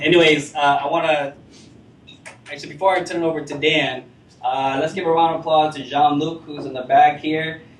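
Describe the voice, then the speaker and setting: A man with an American accent talks at a fairly quick pace in a fairly high voice with fairly even intonation. Audible room echo and noticeable background noise are in the recording. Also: long, frequent pauses, big swings in loudness. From Rochester, New York, US. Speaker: meetup organizer. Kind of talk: event introduction to audience. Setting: meetup room with live audience. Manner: casual, many filler words.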